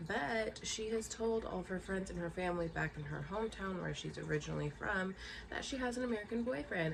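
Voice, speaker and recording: Amid noticeable background noise and audible room echo, a woman speaks at a medium pitch and moderate pace. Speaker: booktuber. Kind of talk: casual chat.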